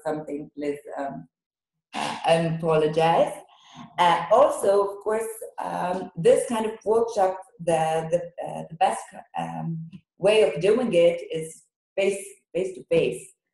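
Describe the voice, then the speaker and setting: With an Israeli accent, a woman speaks at a very slow pace and a fairly low pitch. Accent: non-native English, Hebrew-speaking. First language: Hebrew. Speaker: teacher trainer, workshop leader. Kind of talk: online workshop. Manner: halting, many fillers.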